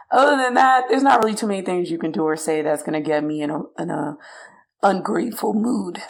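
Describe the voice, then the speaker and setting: A woman's fairly low voice at a very fast pace, with very wide pitch swings and audible room echo. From New York. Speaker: podcast co-host. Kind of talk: casual chat.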